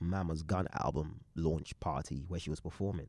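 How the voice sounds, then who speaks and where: A man with a very deep, low pitch and mostly level intonation. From England, East London. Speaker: DJ and creative collective co-founder. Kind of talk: casual chat.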